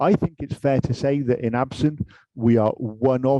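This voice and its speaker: A man speaks with a British accent and a dark, mellow tone. The sound is dry and close, with no echo. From UK. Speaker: industry director at a tech manufacturer. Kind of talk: panel discussion.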